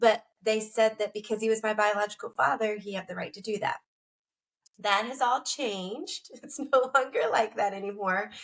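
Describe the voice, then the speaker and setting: In an American accent, a woman with an unremarkable speaking voice talks at a moderate pace and fairly high pitch, her pitch varying in an ordinary way while her loudness swings widely. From Pennsylvania, US. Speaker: author and kidnapping survivor. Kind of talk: personal interview testimony.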